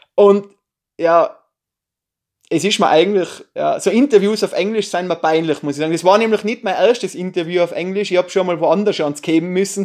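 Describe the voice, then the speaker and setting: A man with a Tyrolean accent speaks in a high voice at a fairly quick pace. The background is quiet. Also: ordinary pitch variation. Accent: Tyrolean Austrian German. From Austria, Tyrol. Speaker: YouTuber, film reviewer. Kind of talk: casual vlog review. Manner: casual, hesitant with fillers.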